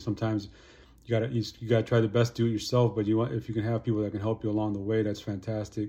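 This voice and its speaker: Very fast and monotone, a man's fairly low voice comes through with a flat intonation and a dark, mellow tone. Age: 50s. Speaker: motivational YouTuber. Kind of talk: casual monologue to camera. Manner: casual, filler-heavy.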